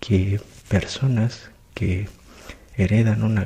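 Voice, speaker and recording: A soft-spoken man talks at a fairly low pitch. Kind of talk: ASMR short story reading with commentary.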